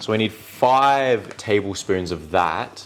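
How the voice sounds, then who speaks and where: With an Australian accent and a medium pitch, a man speaks in an animated tone while music plays in the background. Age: 20s. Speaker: content creator. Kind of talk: casual chat.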